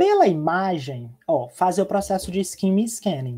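Against a quiet background, a high-pitched man with a dark, mellow tone speaks at a moderate pace, his pitch swinging very widely. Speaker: teacher. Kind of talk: online lecture. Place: home room. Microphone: webcam.

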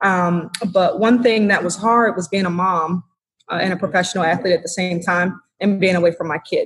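A woman speaks with an American accent at a fairly quick pace. Her pitch is medium and her voice somewhat breathy. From Washington, D.C. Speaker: former pro basketball player. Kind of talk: interview. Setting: hotel room, remote call.

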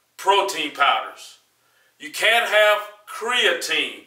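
A man's raised, projected voice with audible room echo over a quiet background. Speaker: fitness vlogger. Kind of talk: casual advice vlog monologue. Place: gym.

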